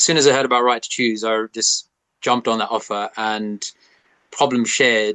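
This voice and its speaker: Recorded dry and close with no echo, a man speaks at a medium pitch in a bright, sharp tone with monotone, flat intonation. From England (Watford), British Indian. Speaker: neurodivergent artist and public speaker. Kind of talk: interview. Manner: halting.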